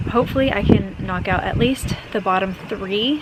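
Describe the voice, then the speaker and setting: A woman with fairly even intonation, noticeable background noise behind her. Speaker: lifestyle vlogger. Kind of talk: casual vlog narration. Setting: outdoors in garden. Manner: talking quietly.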